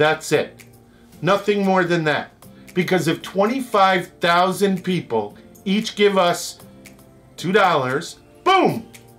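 A man talks at a very slow pace while faint music plays in the background. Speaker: travel show host. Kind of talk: fundraising appeal to camera. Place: home room.

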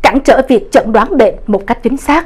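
With very wide pitch swings, a woman speaks at a high pitch. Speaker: news anchor. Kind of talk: news reading. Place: studio. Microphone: lapel.

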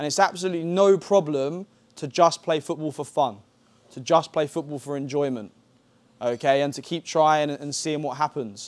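Speaking at a fairly high pitch, a man's voice shows big swings in loudness. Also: ordinary pitch variation, moderate pace. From England. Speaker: football coach. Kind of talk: lecture. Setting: camp masterclass with audience. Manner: repetitive filler okay. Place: hall. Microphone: lapel.

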